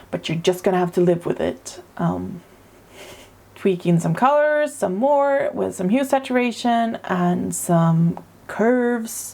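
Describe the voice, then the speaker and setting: A woman with a Swedish accent speaks at a very slow pace in a dark, mellow tone. Her pitch swings very widely. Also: medium pitch for a woman. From Sweden. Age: 30s. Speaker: artist. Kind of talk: casual narration over drawing video. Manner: hesitant, many fillers.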